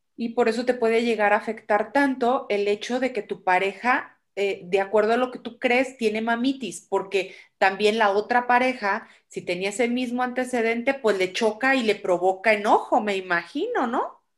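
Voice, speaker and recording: Moderate pace and ordinary pitch variation. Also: woman, fairly high pitch for a woman. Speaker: podcast host. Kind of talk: interview.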